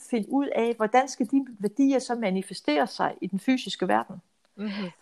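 This woman's voice sits high in pitch with lively intonation. She talks at a fairly slow pace. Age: 60s. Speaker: financial adviser. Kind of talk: casual interview.

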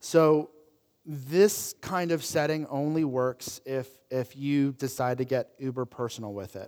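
With an animated tone, a man speaks at a fairly slow pace in a fairly high pitch, with ordinary pitch variation. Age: 30s. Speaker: pastor. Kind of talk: sermon. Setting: church.

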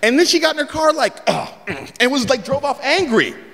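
A man's raised, projected voice with an American accent, against noticeable background noise. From San Francisco, US West Coast. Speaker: comedian. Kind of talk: stand-up storytelling. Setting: stage with audience.

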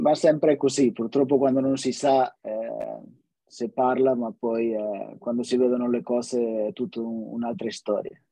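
A man's medium-pitched voice moves fairly slowly, with ordinary pitch variation. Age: 30s. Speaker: podcast host. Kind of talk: casual interview chat. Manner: halting, many repetitions and fillers.

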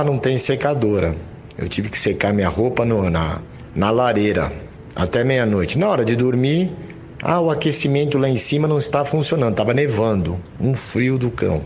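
With very wide pitch swings and very even loudness, the speaker keeps a moderate pace amid noticeable background noise and audible room echo. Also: man. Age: 50s. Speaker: tennis coach. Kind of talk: interview.

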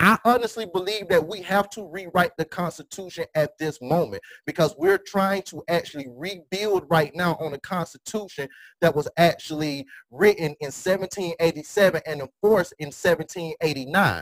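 An energetic man's high voice at a fairly slow pace, with big swings in loudness, ordinary pitch variation, and a dry, close sound with no echo. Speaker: podcast host. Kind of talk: roundtable discussion.

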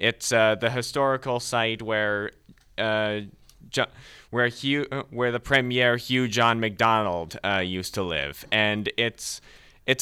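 A man talks with a plain, everyday voice at a medium pitch. His pitch varies in an ordinary way, on a very clean recording with a silent background. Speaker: radio host. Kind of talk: casual radio banter. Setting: studio.

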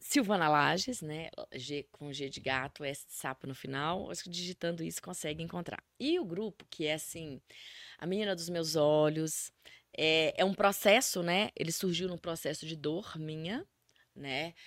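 On a very clean recording with a silent background, a woman with a plain, everyday voice talks at a fairly slow pace and a fairly low pitch, with ordinary pitch variation. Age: 40s. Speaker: life coach. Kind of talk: interview.

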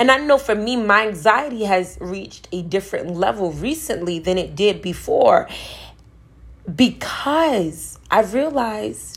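A woman talks at a fairly slow pace with fairly high pitch, lively intonation and vocal fry. Her tone is animated. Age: 20s. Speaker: spiritual wellness podcaster. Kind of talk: casual monologue.

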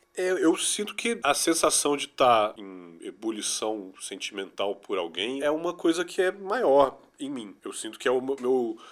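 A man with a fairly high pitch talks at a fairly slow pace with hardly any pauses. His pitch swings very widely and his loudness swings a lot. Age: 40s. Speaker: musician and music producer. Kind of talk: interview.

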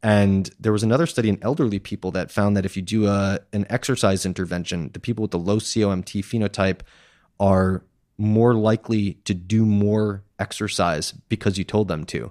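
On a very clean recording with a silent background, a man with an American accent talks at a fairly quick pace in a normal speaking voice with fairly even intonation. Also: fairly low pitch for a man. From Massachusetts, US. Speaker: nutrition researcher. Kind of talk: interview.

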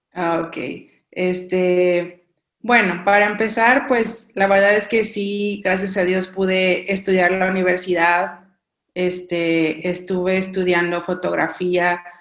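Audible room echo surrounds a woman with a medium pitch who speaks at a very slow pace in monotone, flat intonation. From Mexico, coast. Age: 30s. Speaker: missionary. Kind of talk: casual interview chat.

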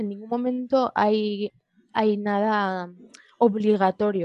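At a very slow pace, the voice keeps a fairly even intonation, with a dry, close sound and no echo. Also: woman. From Spain, Madrid. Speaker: guest sharing personal testimony. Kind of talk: interview. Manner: halting.

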